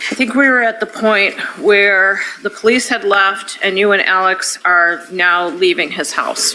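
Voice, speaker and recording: A woman's medium-pitched voice at a fairly slow pace with hardly any pauses, over noticeable background noise. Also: ordinary pitch variation. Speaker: defense attorney. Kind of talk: courtroom examination. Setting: courtroom.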